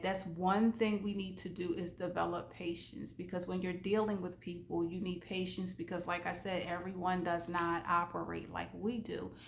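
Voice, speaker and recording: A woman talks at a moderate pace and medium pitch in a flat monotone, and her voice is somewhat breathy. Audible room echo surrounds her. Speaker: life coach. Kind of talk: motivational talk. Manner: casual, conversational.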